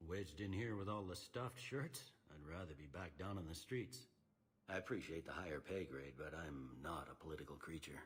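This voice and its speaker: A man's put-on character voice, very deep and gruff, with lively intonation and a fairly quick pace. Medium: video game. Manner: blunt, gruff.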